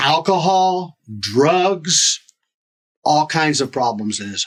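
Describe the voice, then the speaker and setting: At a very slow pace, a man talks with lively intonation in a fairly high pitch. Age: 60s. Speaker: podcast guest. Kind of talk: interview testimony.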